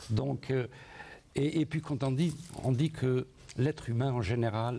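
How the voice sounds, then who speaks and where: Fairly slow, somewhat breathy male speech in a dark, mellow tone, with ordinary pitch variation and long, frequent pauses. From Algeria, Sétif; Algeria. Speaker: first-time memoir author; guest. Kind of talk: studio interview. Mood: warm, nostalgic. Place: studio. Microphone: lapel.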